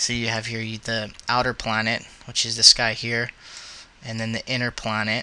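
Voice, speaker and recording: A man talks at medium pitch in a monotone, flat intonation. Long, frequent pauses break up his speech. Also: moderate pace. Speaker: 3D animation hobbyist. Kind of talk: screen-capture software tutorial. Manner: hesitant, many filler words.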